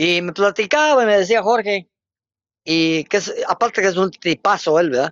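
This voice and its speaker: His intonation is lively. This man speaks at a high pitch. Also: moderate pace. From Guatemala, Zacapa. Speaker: radio broadcaster. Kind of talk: casual interview.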